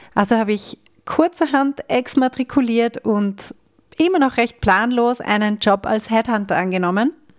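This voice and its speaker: A woman's fairly high voice at a fairly slow pace, with lively intonation and a dry, close sound free of echo. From Austria. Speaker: podcast host and coach. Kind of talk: personal monologue.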